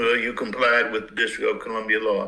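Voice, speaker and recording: This is a man speaking. He has an American accent. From US South, Mississippi. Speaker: judge. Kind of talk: court hearing.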